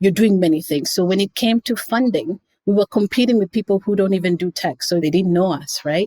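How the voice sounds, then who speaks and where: This woman has a Kenyan accent and a medium-pitched voice with a dark, mellow tone. Her pitch moves in an ordinary way, and the sound is dry and close with no echo. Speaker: nonprofit founder. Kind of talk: interview.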